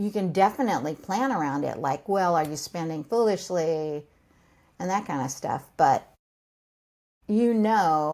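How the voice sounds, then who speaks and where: With an American accent, a woman speaks at a fairly low pitch with lively intonation and a dark, mellow tone. She leaves long, frequent pauses, and the recording is very clean with a silent background. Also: fairly slow pace. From California. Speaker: financial coach for seniors. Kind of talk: explanatory interview talk.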